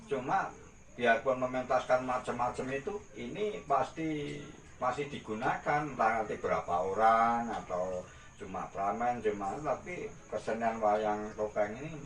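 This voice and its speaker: Lively intonation marks this fairly slow speech, heard over noticeable background noise. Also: man. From Gunung Kidul, Java, Indonesia. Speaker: artist and costume rental owner. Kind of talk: interview answer.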